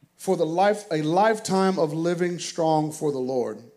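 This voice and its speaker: Someone speaks at a fairly slow pace in an American accent, with ordinary pitch variation. Audible room echo surrounds the voice. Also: man. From US South. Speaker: pastor. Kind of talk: sermon. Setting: church. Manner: animated.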